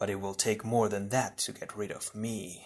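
A man's put-on character voice, growling and fairly low, with flat, monotone intonation at a moderate pace. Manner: taunting.

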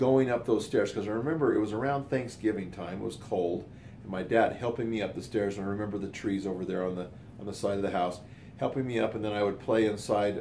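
A man speaks at a fairly low pitch with ordinary pitch variation and a dark, mellow tone. His voice is somewhat breathy, with light background noise behind it. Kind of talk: casual storytelling monologue. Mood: warm, reminiscing. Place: home room. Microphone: phone near.

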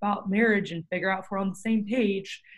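A somewhat breathy woman speaks at a very fast pace against a quiet background. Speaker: podcast host. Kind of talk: casual chat. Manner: animated. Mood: warm, earnest. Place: home room.

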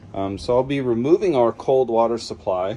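Over light background noise, a man's dark, mellow voice moves with ordinary pitch variation. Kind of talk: casual vlog tour explaining work plans. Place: bus. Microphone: phone near.

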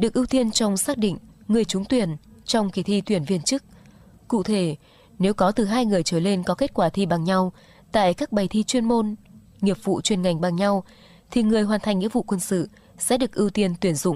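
At a moderate pace, a woman of medium pitch talks with ordinary pitch variation, very even loudness and long, frequent pauses, in a dry sound with no echo. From Vietnam. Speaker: local radio announcer; radio announcer. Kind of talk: news reading. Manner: formal. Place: studio.

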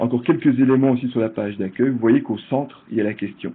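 A man talks at a fairly quick pace in a medium pitch. He has a Belgian accent. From Belgium. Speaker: project manager and presenter. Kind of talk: virtual conference presentation. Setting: online conference, video call. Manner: hesitant, frequent repetitions.

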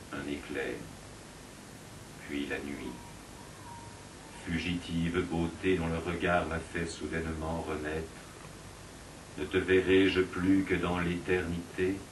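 Over noticeable background noise, a man with a very deep, low pitch speaks at a very slow pace with long, frequent pauses. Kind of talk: poetry reading.

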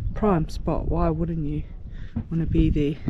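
Noticeable background noise accompanies a woman speaking in a dry sound with no echo. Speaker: liveaboard sailor vlogger. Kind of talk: casual vlog chat. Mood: relaxed, cheerful. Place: boat. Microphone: phone near.

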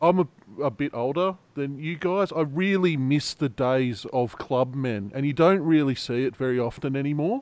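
A fairly high-pitched man with an Australian accent, at a moderate pace and with ordinary pitch variation. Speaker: fantasy sports youtuber. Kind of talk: casual chat.

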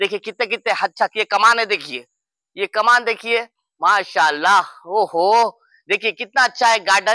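A man speaks at a moderate pace with a bright, sharp tone and a high pitch. The sound is dry and close, with no echo. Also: ordinary pitch variation.

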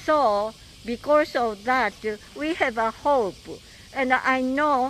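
A woman with a Japanese accent speaks at a high pitch with ordinary pitch variation, the sound dry with no echo and light background noise. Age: 80s+. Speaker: atomic bomb survivor and peace activist. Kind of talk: recorded video message. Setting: outdoors. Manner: halting. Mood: earnest, hopeful. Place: street. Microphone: handheld.

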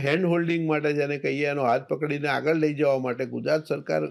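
Fairly even intonation from a man, on a very clean recording with a silent background. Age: 60s. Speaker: chartered accountant and government finance official. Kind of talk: interview.

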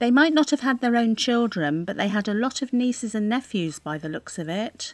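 This woman's pitch is fairly high and her pace fairly quick. It is an unremarkable speaking voice. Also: lively intonation. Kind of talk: scripted English-learning dialogue.

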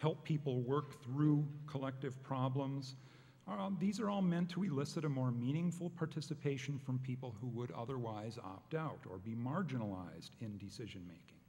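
A man's somewhat breathy voice, dark and mellow in tone, with lively intonation at a moderate pace. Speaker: panel moderator. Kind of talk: conference introduction, partly read. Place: hall. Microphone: podium.

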